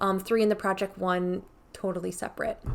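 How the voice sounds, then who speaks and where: Mumbling at a fairly quick pace, a woman speaks at a medium pitch. Her intonation is monotone and flat. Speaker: beauty youtuber. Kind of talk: casual vlog talk to camera. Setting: home filming setup with ring light.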